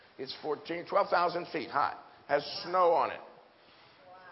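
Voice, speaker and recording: Noticeable background noise sits behind a man with an American accent. His pitch is high, with ordinary variation. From US Pacific Northwest. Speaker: preacher. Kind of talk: sermon. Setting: church with audience. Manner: animated; humorous.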